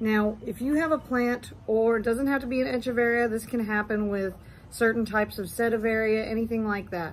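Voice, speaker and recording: A woman speaks in an ordinary speaking voice, fairly high in pitch. Her pace is moderate. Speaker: succulent grower and YouTuber. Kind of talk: tutorial. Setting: indoors in husband's mancave. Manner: casual.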